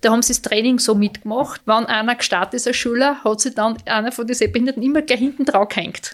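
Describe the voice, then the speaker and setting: Speaking very fast, a woman keeps a fairly high pitch and fairly even intonation. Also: hardly any pauses. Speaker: mother of athletes. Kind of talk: interview.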